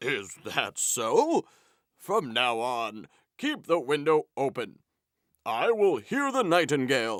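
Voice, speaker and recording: A man puts on a cartoonish character voice with very wide pitch swings and a fairly slow pace, recorded very cleanly with a silent background and a dry, close sound with no echo. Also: fairly high pitch for a man. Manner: commanding.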